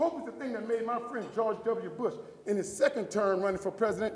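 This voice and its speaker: A man with an American accent, high in pitch and animated in tone, with ordinary pitch variation amid noticeable background noise. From US South, New Orleans. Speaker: motivational speaker. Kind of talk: keynote speech.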